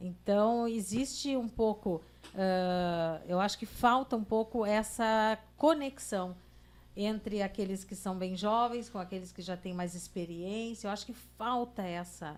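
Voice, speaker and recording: A woman talks at a fairly slow pace in a medium pitch, with ordinary pitch variation. She has an ordinary speaking voice. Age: 60s. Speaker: journalist, podcast co-host. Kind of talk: casual chat.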